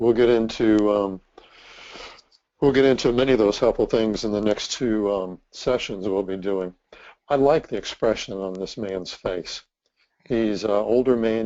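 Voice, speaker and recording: A man has an unremarkable speaking voice with a fairly low pitch. He talks at a fairly slow pace with fairly even intonation. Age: 60s. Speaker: ministry leader and trainer. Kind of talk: presentation.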